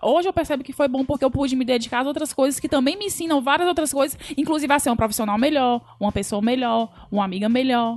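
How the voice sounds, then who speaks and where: With music in the background, a woman talks at a very fast pace in a high pitch, with ordinary pitch variation. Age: 30s. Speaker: podcast host. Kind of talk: casual chat.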